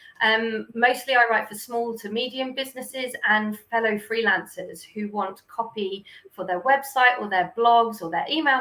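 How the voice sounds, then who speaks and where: With hardly any pauses, a woman speaks in a fairly high, bright, sharp voice, with ordinary pitch variation and big swings in loudness. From UK. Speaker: copywriter. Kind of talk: interview conversation.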